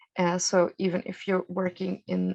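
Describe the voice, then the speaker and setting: A woman with a fairly low pitch is heard in a dry, close sound with no echo. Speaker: EU funding program presenter. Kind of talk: webinar presentation. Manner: halting, many fillers.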